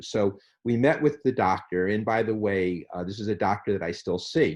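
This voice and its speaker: Against a quiet background, a man with a fairly low pitch talks at a moderate pace with ordinary pitch variation. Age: 60s. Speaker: cancer patient advocate. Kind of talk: interview. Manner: halting, many repetitions and fillers.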